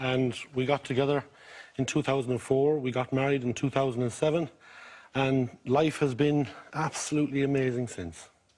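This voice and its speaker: The speaker has a Mayo accent, a moderate pace and fairly even intonation. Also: man, medium pitch for a man. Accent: Irish, County Mayo. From Ireland, County Mayo. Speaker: game show contestant. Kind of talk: casual chat. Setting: TV studio with audience.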